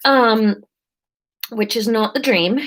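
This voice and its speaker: A woman speaks with an English accent. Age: 30s. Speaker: comedian. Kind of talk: casual live-stream chat.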